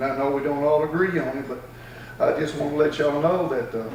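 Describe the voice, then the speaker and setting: A man speaks fairly quickly in a fairly high pitch with an American accent. Noticeable background noise and audible room echo are present. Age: 60s. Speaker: cattle farmer speaking at public comment. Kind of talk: public comment. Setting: county board meeting.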